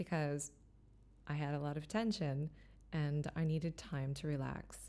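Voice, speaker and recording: A very slow pace, with a calm tone and a dark, mellow sound. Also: woman. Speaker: voice teacher. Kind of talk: instructional lesson to camera. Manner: calm, guiding.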